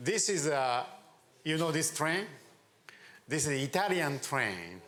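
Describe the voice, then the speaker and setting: A man with a fairly high pitch and lively intonation at a fairly slow pace, his loudness very even, with audible room echo. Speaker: venture capitalist and government adviser. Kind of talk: conference talk.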